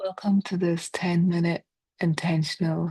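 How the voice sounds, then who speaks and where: A woman's fairly low, somewhat breathy voice with a Scottish accent, monotone and flat, at a fairly slow pace. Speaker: therapist; meditation guide. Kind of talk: guided body scan meditation. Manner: slow, soft-spoken.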